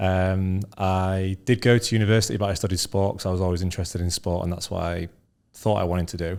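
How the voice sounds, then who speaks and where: The speaker talks at a very fast pace with a northern English accent and fairly even intonation. The recording is very clean, with a silent background. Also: man, very deep, low pitch for a man. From northern England, Scunthorpe. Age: 30s. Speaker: entrepreneur. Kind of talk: interview.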